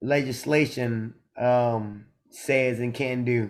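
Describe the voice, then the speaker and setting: With a Southern US accent, a man delivers his words at medium pitch in a flat monotone. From US South. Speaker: podcast co-host. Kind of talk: casual chat.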